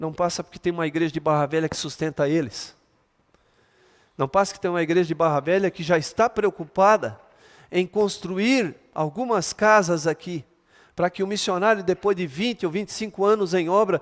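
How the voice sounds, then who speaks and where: On a very clean recording with a silent background, the speaker uses an animated tone at a moderate pace, with ordinary pitch variation and a dry, close sound with no echo. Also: man. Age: 60s. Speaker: pastor. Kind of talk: sermon. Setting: church.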